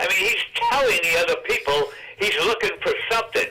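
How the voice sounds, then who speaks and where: Moderate-paced speech from a man in an American accent, noticeable background noise behind it. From New Jersey. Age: 90s. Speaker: professional gambler and author. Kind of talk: storytelling in a casual interview.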